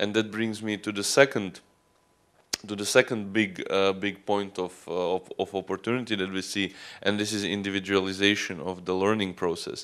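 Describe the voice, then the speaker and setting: Fairly low-pitched man with a Croatian accent, monotone and flat, at a moderate pace. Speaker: student union representative; conference presenter. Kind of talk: conference talk. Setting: conference stage with audience. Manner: halting. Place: hall. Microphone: handheld.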